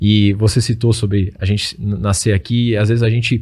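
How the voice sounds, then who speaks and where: A somewhat breathy male voice at a medium pitch, fairly quick and with fairly even intonation. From Brazil, Rio do Sul, Santa Catarina. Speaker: Bible study influencer. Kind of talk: interview, explaining Bible interpretation. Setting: studio, radio and YouTube show.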